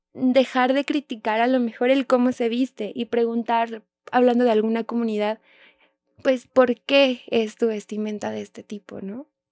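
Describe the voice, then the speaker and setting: On a very clean recording with a silent background, a woman speaks slowly-ish in a dark, mellow tone at a fairly high pitch. Her intonation is monotone and flat, and the sound is dry and close with no echo. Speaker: special education teacher and sign language interpreter. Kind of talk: interview conversation.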